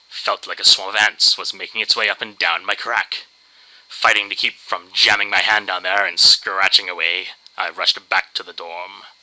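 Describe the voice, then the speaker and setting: Over noticeable background noise, a man with a fairly low pitch speaks at a moderate pace in a monotone, flat intonation, his loudness swinging widely. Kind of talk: dramatic reading of a humorous internet story. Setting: low-quality home microphone.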